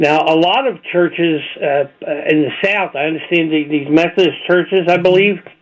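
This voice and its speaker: A man talks at a moderate pace with hardly any pauses. His pitch is high, with ordinary pitch variation. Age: 70s. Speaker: opinion writer and commentator. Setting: radio show interview.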